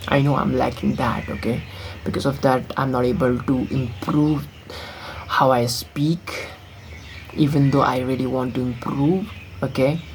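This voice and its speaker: Noticeable background noise accompanies speech at a rather slow pace. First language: not English. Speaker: vlogger. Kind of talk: casual vlog monologue. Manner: halting, many fillers.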